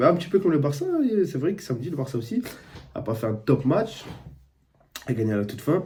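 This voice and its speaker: This man speaks with some breathiness. His tone is dark and mellow. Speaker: football YouTuber, streamer. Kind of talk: casual football match debrief. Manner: casual, conversational.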